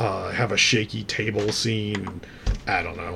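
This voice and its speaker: A man talks in a fairly low pitch while noticeable background noise carries on behind him. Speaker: podcast host. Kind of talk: casual storytelling monologue. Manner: animated, laughs while telling story; humorous, self-deprecating.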